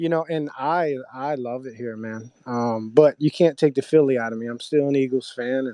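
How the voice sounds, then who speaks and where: A man speaks at a moderate pace and a medium pitch. His loudness swings widely. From South Jersey, Philadelphia area. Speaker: army veteran, crypto project member. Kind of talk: casual chat. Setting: online audio room.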